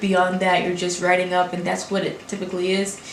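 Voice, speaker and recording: A woman speaks with a Haitian accent. Audible room echo and noticeable background noise fill the recording. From Brooklyn, New York, Haitian family. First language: Haitian Creole. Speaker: graduate student. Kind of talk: casual vlog talk. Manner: words run together.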